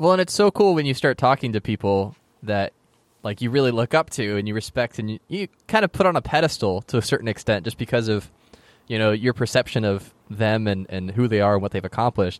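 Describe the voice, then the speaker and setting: A man talks at a fairly quick pace with a plain, everyday voice at medium pitch. His intonation is lively, and the sound is dry and close with no echo. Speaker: podcast host. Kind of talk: interview, hosting intro.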